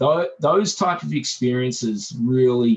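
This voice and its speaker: This voice has an Australian accent and is somewhat breathy. It moves at a fairly slow pace with very wide pitch swings. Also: man. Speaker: business owner. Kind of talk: group video meeting discussion.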